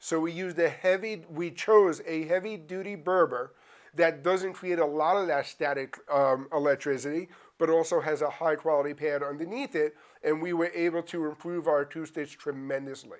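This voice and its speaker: A man's fairly high voice, an unremarkable speaking voice, at a moderate pace with fairly even intonation, on a very clean recording with a silent background. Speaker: company presenter giving studio tour. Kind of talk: studio tour presentation. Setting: studio in a warehouse.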